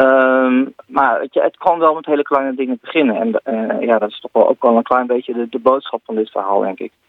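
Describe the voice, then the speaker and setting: A man with a medium pitch talks at a moderate pace with hardly any pauses. He has a plain, everyday voice, ordinary pitch variation and big swings in loudness. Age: 40s. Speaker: tech columnist, social media expert. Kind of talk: radio column discussion.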